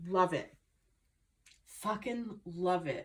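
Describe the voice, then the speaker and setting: The speaker is a woman. She has a New Jersey accent. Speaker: tarot reader. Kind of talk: spiritual reading monologue. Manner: animated.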